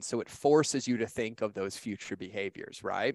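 A man with a normal speaking voice talks at a fairly quick pace, his pitch fairly low. The recording is very clean with a silent background, and the sound is dry and close with no echo. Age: 30s. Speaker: author and digital marketing expert. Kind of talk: interview, motivational talk.

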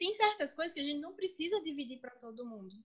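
A woman with a Pernambuco accent speaks in a high pitch with very wide pitch swings. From Brazil, Pernambuco (sertão). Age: 30s. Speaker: lawyer and master's student. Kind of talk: casual chat. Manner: animated.

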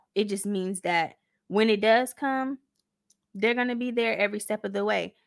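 A woman's normal speaking voice at medium pitch and moderate pace, with ordinary pitch variation, in a very clean recording with a silent background. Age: 20s. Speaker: faith podcast host. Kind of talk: casual faith talk.

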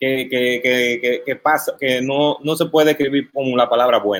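The speaker talks at a moderate pace in a Dominican accent, with hardly any pauses. Intonation stays fairly even. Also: man. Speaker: web show host. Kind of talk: casual interview.

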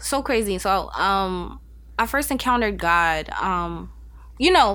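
This is a woman speaking with a New York accent. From Staten Island, New York. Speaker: podcast guest, state employee. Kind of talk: casual interview, faith testimony. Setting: in person in Albany.

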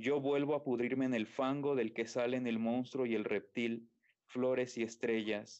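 At a fairly slow pace, a man speaks at a medium pitch with very even loudness and monotone, flat intonation. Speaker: poetry reader. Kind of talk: poetry reading. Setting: video call.

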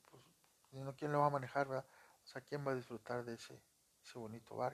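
A man with a fairly high pitch. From Monterrey, Nuevo León, northern Mexico. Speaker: podcast storyteller and phone screen repairer. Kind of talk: casual storytelling. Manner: conversational, many fillers.

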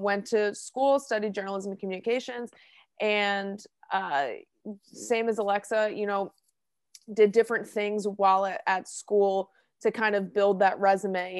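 Speaking with an American accent, a woman uses a medium pitch and fairly even intonation at a fairly slow pace. She leaves long, frequent pauses against a quiet background. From New Jersey (Hillsborough). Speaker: podcast co-host, sports media associate. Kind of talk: casual chat.

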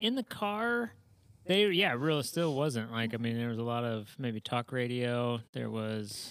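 A man with an American accent speaks in a plain, everyday voice at medium pitch and a fairly slow pace. Pitch variation is ordinary, and the recording is very clean with a silent background. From Indiana, US Midwest. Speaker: podcast co-host. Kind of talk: casual chat.

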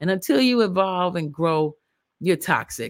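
A woman with an unremarkable speaking voice, medium pitch and lively intonation at a moderate pace, on a very clean recording with a silent background. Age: 50s. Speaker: podcast host. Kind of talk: casual commentary. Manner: rambling conversational.

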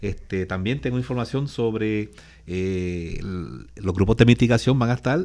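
A man speaks in a fairly low voice with lively intonation and an unremarkable speaking voice. The recording is very clean, with a silent background. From Puerto Rico (Aguadilla). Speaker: disaster agency spokesperson. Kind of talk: radio interview.

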